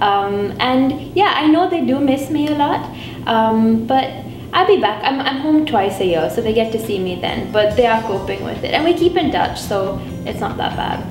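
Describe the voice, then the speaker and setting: Her fairly high voice swings very widely in pitch at a moderate pace. The room echo is audible and there is noticeable background noise. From India, Mumbai. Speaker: international student. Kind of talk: interview testimony.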